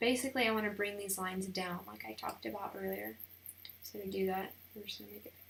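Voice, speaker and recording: Noticeable noise runs through the background. The words come very fast. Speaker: wedding photographer. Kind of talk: tutorial. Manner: casual, thinking aloud.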